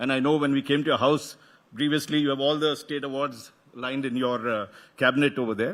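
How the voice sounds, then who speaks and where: A man speaks very fast with a South Indian accent. His pitch sits fairly high, and his intonation stays fairly even. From South India, Karnataka. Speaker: media executive, event host. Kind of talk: welcome address at conference. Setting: stage with audience. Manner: halting, with false starts.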